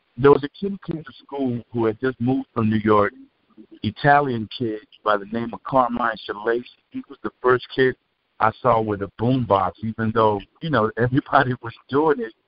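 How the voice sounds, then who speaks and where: A normal speaking voice from a man, medium in pitch with ordinary pitch variation, a moderate pace and big swings in loudness. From Cuba, raised in the US. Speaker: rapper. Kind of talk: interview.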